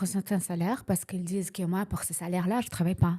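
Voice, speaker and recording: A woman's medium-pitched voice with a dark, mellow tone, ordinary pitch variation and a very fast pace. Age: 60s. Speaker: real estate investor. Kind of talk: interview. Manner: halting.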